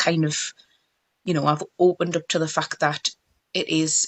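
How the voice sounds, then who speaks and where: With a Geordie accent, the speaker talks at a moderate pace in a monotone, flat intonation, the sound dry and close with no echo. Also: woman. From northeast England, Tyneside. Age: 30s. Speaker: mobile beauty business owner. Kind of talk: interview.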